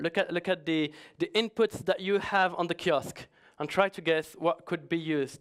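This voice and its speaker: A man with a high-pitched voice speaks at a moderate pace with ordinary pitch variation, in a dry, close recording with no echo that is very clean, with a silent background. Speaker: security consultant. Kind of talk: conference talk. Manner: halting.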